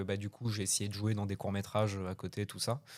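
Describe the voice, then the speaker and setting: Very fast delivery on a very clean recording with a silent background. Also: man. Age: 20s. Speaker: young film director and actor. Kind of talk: radio interview. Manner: halting, many hesitations.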